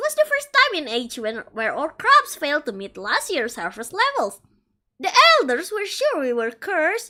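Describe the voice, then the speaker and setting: A woman speaks in a put-on character voice at a moderate pace. Her pitch swings very widely. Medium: virtual streamer. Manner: rambling, self-deprecating.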